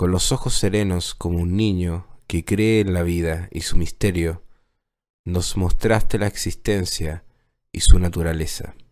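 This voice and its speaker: A man with a very deep, low pitch talks at a fairly slow pace with fairly even intonation. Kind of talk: poem performed as solemn tribute. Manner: solemn, reverent, slow and measured; heartfelt, declamatory with pauses.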